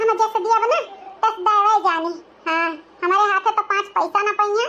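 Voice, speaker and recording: A woman's cartoonish, squeaky character voice at an extremely high pitch, with very even loudness, fairly even intonation and a moderate pace. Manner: grumbling, sarcastic asides.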